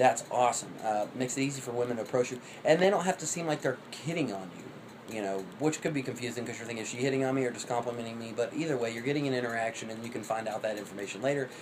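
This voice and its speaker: Very fast speech with ordinary pitch variation and noticeable background noise. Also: man, medium pitch for a man. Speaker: vlogger. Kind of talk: casual monologue. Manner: rapid like an auctioneer.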